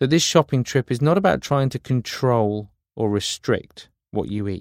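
A man with a British accent at medium pitch and a moderate pace, lively intonation, in a dry, close sound with no echo and a very clean recording over a silent background. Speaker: meditation guide. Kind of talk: guided meditation.

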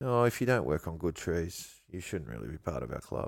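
The speaker uses an Australian accent and lively intonation at a moderate pace. The recording is very clean, with a silent background. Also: man. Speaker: bonsai grower and teacher. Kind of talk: casual interview.

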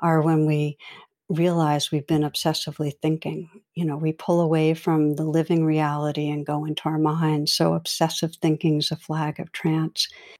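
A woman speaks in a very deep, low voice with monotone, flat intonation. The very clean recording has a silent background and a dry, close sound with no echo. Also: moderate pace. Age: 60s. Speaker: meditation teacher and clinical psychologist. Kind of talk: interview conversation. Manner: gentle.

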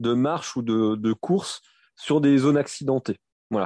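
A man with a dark, mellow tone speaks with ordinary pitch variation, in a dry, close sound with no echo and a quiet background. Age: 40s. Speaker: running coach and sports shop manager. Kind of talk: interview. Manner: halting.

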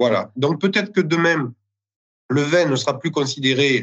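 Speaking at a moderate pace, the man has an unremarkable speaking voice with a fairly high pitch. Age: 30s. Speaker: winegrower and village mayor. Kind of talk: interview.

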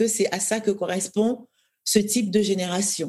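Here a woman talks at a moderate pace, her pitch medium. She sounds somewhat breathy, with fairly even intonation. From Cameroon, Douala. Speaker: novelist. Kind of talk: interview conversation.

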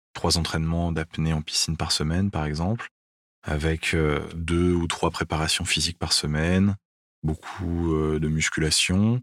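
A man's very deep, low voice at a fairly slow pace with fairly even intonation, in a dry, close sound with no echo on a very clean recording with a silent background. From France. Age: 30s. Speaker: professional freediver. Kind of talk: interview testimony.

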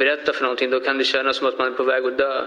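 A man's fairly high voice with audible room echo. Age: 20s. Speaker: murder defendant. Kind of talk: courtroom testimony. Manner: halting.

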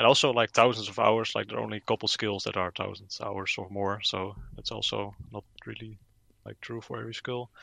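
Against a quiet background, a man with a Dutch accent speaks at a fairly low pitch in a bright, sharp tone, the sound dry and close with no echo. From Netherlands. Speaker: gaming YouTuber. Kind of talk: casual interview.

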